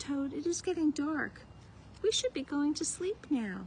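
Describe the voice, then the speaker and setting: A woman's put-on character voice, high-pitched and at a moderate pace, with clear background noise. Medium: read story.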